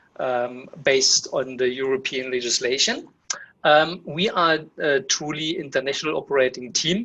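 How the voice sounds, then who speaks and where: This man speaks at a medium pitch with a German accent and fairly even intonation. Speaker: webinar host. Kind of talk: webinar Q&A. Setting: online webinar. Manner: halting, many fillers.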